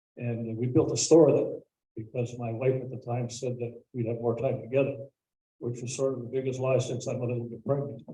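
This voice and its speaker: At a moderate pace, a man speaks in a dark, mellow, somewhat breathy voice at medium pitch with a monotone, flat intonation. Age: 70s. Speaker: municipal council candidate. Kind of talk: public candidate speech. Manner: halting with frequent fillers. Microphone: too quiet at first, not close enough to mic.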